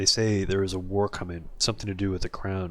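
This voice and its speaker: A man puts on a gravelly character voice, fairly low in pitch. He rattles along at a very fast pace in a flat monotone. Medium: game stream. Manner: terse, wry.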